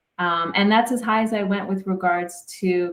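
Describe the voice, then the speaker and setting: A woman speaks with a Canadian accent. Her intonation is fairly even. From Canada. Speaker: sports psychologist. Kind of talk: podcast interview.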